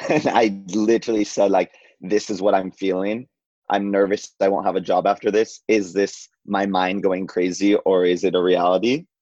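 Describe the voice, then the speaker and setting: A man with an unremarkable speaking voice talks at a moderate pace with fairly even intonation and very even loudness, the sound dry and close with no echo against a quiet background. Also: fairly low pitch for a man. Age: 20s. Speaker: journalist. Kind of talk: casual chat.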